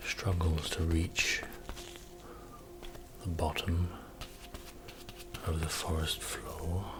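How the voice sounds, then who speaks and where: Soft-spoken and soothing, a man with a very deep, low pitch talks in a monotone, flat way at a very slow pace. He leaves long, frequent pauses, and music plays in the background. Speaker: painter, ASMR art creator. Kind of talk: ASMR painting session, casual talk to camera. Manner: soft-spoken, slow, soothing.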